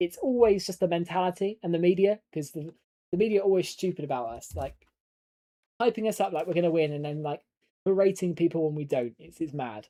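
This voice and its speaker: Very fast delivery in an English accent. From southern England. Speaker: gaming streamer. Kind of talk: live stream gameplay commentary. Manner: casual, chatty.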